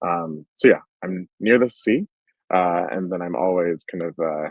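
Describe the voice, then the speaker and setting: A man speaks in an American accent with a very deep, low pitch. His intonation stays fairly even. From US, Washington D.C. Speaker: UX research leader. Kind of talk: conference talk.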